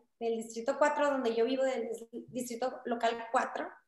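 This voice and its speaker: A woman with a high pitch speaks at a moderate pace in fairly even intonation, with audible room echo around her. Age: 20s. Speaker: political candidate. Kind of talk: interview. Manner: talkative.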